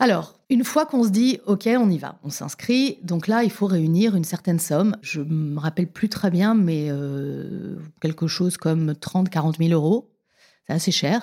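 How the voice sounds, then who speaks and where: A woman's dark, mellow tone at a fairly low pitch and a fairly slow pace. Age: 50s. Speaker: TV presenter. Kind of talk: casual interview. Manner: animated.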